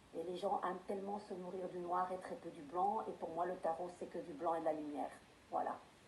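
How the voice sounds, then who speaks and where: A woman with a fairly low pitch talks at a fairly quick pace, with audible room echo and noticeable background noise. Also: fairly even intonation. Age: 50s. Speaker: tarot reader. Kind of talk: interview. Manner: hesitant, with frequent fillers.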